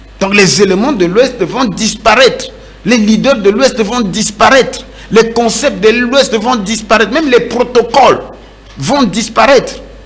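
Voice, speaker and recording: A man talks at an extremely high pitch and a fairly slow pace, with ordinary pitch variation. Audible room echo and noticeable background noise fill the recording. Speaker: pastor. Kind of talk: sermon.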